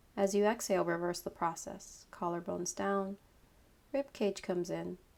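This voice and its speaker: A woman at a medium pitch has an unremarkable speaking voice, delivered at a moderate pace with fairly even intonation. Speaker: yoga instructor, meditation guide. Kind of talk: guided meditation, yoga nidra.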